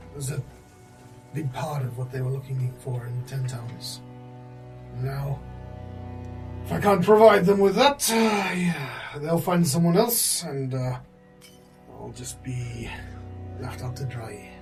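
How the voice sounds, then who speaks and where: Clear background music beneath a put-on character voice moving at a fairly slow pace. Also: man, medium pitch for a man. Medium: actual play. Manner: rambling, hesitant, full of filler.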